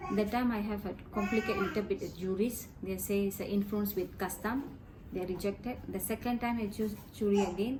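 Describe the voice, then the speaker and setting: A woman with a Tamil accent and a medium pitch talks at a fairly quick pace with fairly even intonation over noticeable background noise. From Malaysia. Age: 40s. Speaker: interviewee, released prisoner. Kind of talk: interview testimony.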